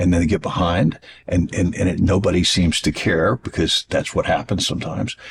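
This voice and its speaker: A man speaks with a very deep, low pitch and a somewhat breathy quality. His pace is moderate. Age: 60s. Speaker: TV show host. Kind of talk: interview. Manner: halting.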